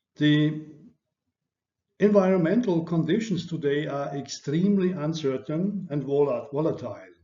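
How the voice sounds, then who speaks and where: Audible room echo surrounds a man with a fairly high pitch, ordinary pitch variation and a moderate pace. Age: 60s. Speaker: lecturer. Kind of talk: lecture. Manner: halting.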